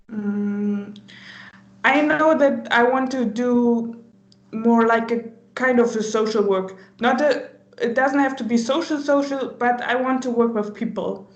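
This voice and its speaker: A woman's high-pitched voice at a fairly slow pace, fairly even in intonation, with audible room echo. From Germany. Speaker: volunteer. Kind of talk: casual interview. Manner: hesitant, many fillers.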